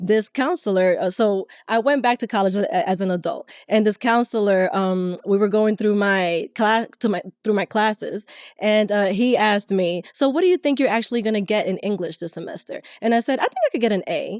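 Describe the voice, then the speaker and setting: A speaker with a Spanish accent talks at a fairly quick pace with ordinary pitch variation, the sound dry and close with no echo on a very clean recording with a silent background. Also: woman, fairly high pitch for a woman. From Latin America. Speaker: podcast co-host. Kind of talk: casual chat. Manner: halting, many repetitions.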